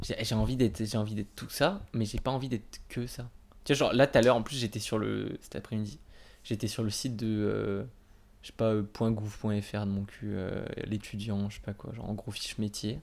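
A man's plain, everyday voice, fairly low-pitched, with fairly even intonation at a moderate pace, on a very clean recording with a silent background. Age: 20s. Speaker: university student. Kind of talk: casual chat.

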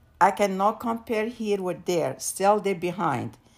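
Lively intonation over a very clean recording with a silent background. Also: woman. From Morocco. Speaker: immigrant mother, guest. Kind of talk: casual interview. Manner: halting.

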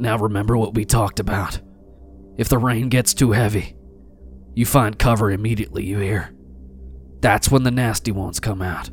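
A man's gruff, put-on character voice, fairly low in pitch, at a moderate pace with long, frequent pauses, clear music in the background. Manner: gruff, stubborn, blunt.

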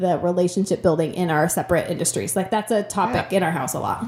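A woman's somewhat breathy voice. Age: 20s. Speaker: teacher. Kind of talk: casual chat.

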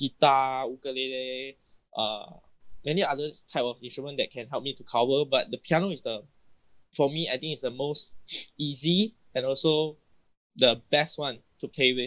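Pausing long and often, a man with a Malaysian accent speaks at a moderate pace with a fairly high pitch, fairly even intonation and big swings in loudness. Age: 20s. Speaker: guest singer. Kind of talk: casual chat.

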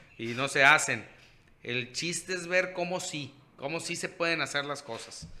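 With an ordinary speaking voice, a man speaks at a fairly high pitch and a fairly slow pace, using ordinary pitch variation. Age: 30s. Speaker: podcast co-host. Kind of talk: casual chat.

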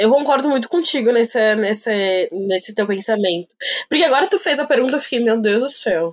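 With a plain, everyday voice, a woman talks at a fairly quick pace, her fairly high pitch carrying lively intonation. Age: 20s. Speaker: plus-size model. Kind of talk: casual chat.

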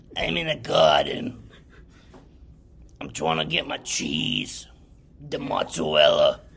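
Using a raspy put-on character voice, a man speaks at a fairly slow pace with long, frequent pauses.

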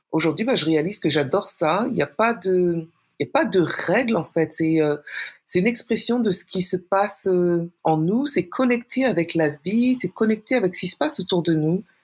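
A woman's plain, everyday voice at a medium pitch and moderate pace, with lively intonation and very even loudness, on a very clean recording with a silent background. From France. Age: 40s. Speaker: poet. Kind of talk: interview.

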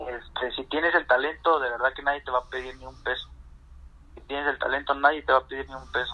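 A man at medium pitch speaks at a very fast pace with monotone, flat intonation and big swings in loudness. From central Mexico (Puebla/Guerrero). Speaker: professional footballer. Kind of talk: interview. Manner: halting, many fillers and repetitions.

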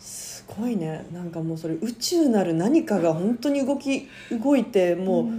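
A woman's medium-pitched voice at a fairly slow pace, with very wide pitch swings and big swings in loudness. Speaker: podcast host. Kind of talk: casual chat.

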